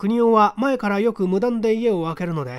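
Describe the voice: A man's voice makes big pitch swings. The recording is very clean, with a silent background.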